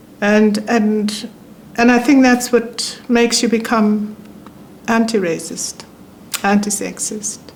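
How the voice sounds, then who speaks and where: A woman with a fairly high pitch speaks very slowly in a flat monotone, with long, frequent pauses and noticeable background noise. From South Africa. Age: 70s. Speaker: former ambassador. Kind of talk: interview conversation. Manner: calm, even-toned.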